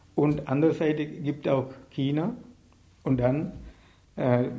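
This man's voice is fairly high in pitch, with a dark, mellow tone and ordinary pitch variation. Room echo is audible. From Sri Lanka. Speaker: writer and activist. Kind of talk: interview. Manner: halting, many hesitations.

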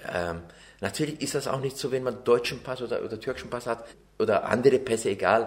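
Speaking at a very fast pace, a man talks with a Turkish accent. The recording is very clean and the background silent. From Turkey (Ankara/Çorum), then Bavaria from age nine. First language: Turkish (speaking German). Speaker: interviewee, naturalized citizen. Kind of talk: interview testimony.

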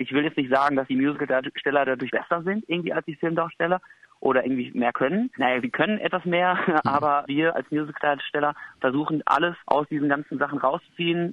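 Speaking at a very fast pace, a man uses a fairly high pitch. His pitch moves in an ordinary way. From rural Germany. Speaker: musical performer. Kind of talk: interview. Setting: phone call.

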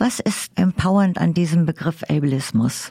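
Dry and close with no echo, a woman's somewhat breathy voice has a dark, mellow tone, fairly low pitch, ordinary pitch variation and a fairly slow pace. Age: 70s. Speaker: interviewer. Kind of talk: interview.

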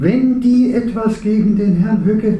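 A man talks fairly slowly, with noticeable background noise and audible echo in the room. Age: 70s. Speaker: activist, retired teacher. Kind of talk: panel discussion. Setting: stage with audience.

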